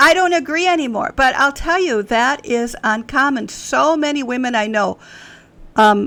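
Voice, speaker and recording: Bright and sharp in tone, a woman's high-pitched voice moves at a moderate pace with lively intonation. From US Midwest, Wisconsin. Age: 60s. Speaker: author. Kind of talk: podcast interview. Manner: conversational, with frequent fillers.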